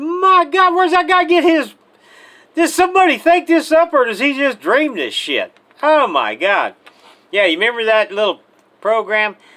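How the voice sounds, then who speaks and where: A raised, projected voice, bright and sharp, animated, with very wide pitch swings and long, frequent pauses. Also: man, extremely high pitch for a man, moderate pace. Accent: American. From Missouri, US Midwest. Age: 70s. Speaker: retired army sergeant major, political commentator. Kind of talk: political rant.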